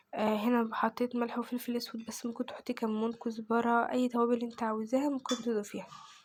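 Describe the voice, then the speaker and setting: A woman speaks with an Egyptian accent at a high pitch. Her pace is moderate and her intonation monotone and flat. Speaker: home cooking vlogger. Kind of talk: cooking tutorial. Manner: casual.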